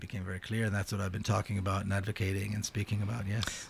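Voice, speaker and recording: A man talks at a very fast pace, sounding somewhat breathy, with monotone, flat intonation. Light background noise sits behind him. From Israel, Jerusalem; Israel. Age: 50s. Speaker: peace activist and author; guest. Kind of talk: radio interview. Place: studio. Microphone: studio mic.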